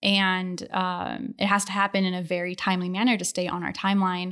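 A woman speaks with an American accent at a medium pitch. Her intonation stays flat and monotone. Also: very clean recording, silent background. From Ohio, Akron area. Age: 30s. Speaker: space mission flight controller. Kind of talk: casual interview.

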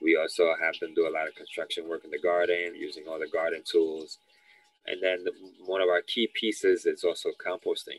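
A man speaks with a New York accent at a fairly quick pace. The sound is dry and close, with no echo. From New York City, Lower East Side. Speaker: youth environmental educator. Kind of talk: interview.

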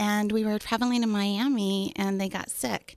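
A woman with an American accent, fairly high pitch and ordinary pitch variation, on a very clean recording with a silent background. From Austin, Texas. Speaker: company founder, former hotel concierge. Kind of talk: casual chat. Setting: studio.

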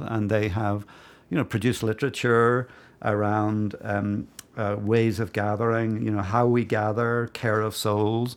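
Captured in a very clean recording with a silent background, a man with a Northern Irish accent speaks at a fairly slow pace in a fairly low pitch with fairly even intonation. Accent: Northern Irish (Belfast). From Northern Ireland, Belfast. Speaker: divinity school dean, historian. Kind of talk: interview. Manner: hesitant, many fillers.

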